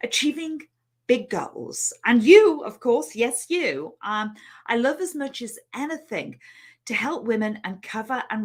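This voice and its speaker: Very slowly and with lively intonation, a woman speaks in a Liverpool accent. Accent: British (Liverpool). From England, Liverpool. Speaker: money mindset coach. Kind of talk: online training webinar. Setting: live stream. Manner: hesitant, many fillers.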